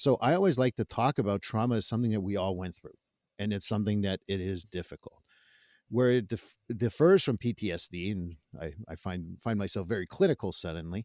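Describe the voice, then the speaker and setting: A man with a Quebec accent and a fairly low pitch, fairly quick pace and ordinary pitch variation, in a dry, close sound with no echo on a very clean recording with a silent background. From Quebec, Canada. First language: French. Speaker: therapist. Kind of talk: podcast interview.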